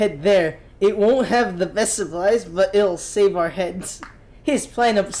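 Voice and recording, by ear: This is someone reading aloud in a natural voice, with ordinary pitch variation.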